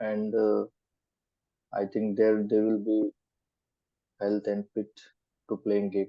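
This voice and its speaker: At a very slow pace, a man in a Goan accent speaks with a fairly low pitch, monotone, flat intonation and long, frequent pauses. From India, Goa. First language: Konkani. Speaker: student. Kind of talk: mock speaking exam. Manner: halting, hesitant.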